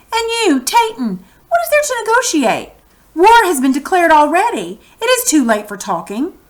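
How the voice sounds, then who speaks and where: In a squeaky, put-on character voice, a woman speaks at a moderate pace with an extremely high pitch and very wide pitch swings. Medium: read story. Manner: authoritative.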